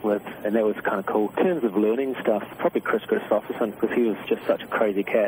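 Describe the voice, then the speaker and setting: A man with a New Zealand accent talks at a very fast clip, his loudness staying very even and hardly any pauses breaking it up. Noticeable background noise sits behind him. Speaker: singer-songwriter. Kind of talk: radio interview answer. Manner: casual, laid-back.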